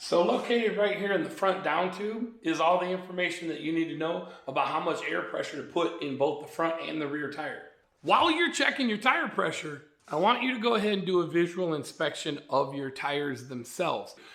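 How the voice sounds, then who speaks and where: With a high pitch and lively intonation, a man talks at a fairly quick pace amid noticeable background noise and audible room echo. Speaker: motorcycle vlogger. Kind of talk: tutorial. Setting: garage. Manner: casual, conversational.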